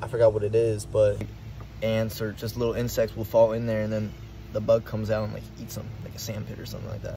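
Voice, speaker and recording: A man talks at a very fast pace with a fairly low pitch. The sound is dry with no echo, over light background noise. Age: 20s. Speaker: YouTuber. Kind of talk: casual vlog narration. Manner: animated. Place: garden. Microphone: phone near.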